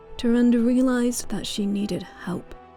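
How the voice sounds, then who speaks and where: Music plays in the background as this woman talks fairly slowly. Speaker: gaming channel host and lore reader. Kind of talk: lore reading, ASMR-style narration.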